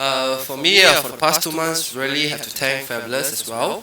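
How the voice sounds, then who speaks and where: A man at medium pitch speaks at a moderate pace, with audible room echo and noticeable background noise. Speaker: weight loss contestant. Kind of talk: casual chat. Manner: soft-spoken.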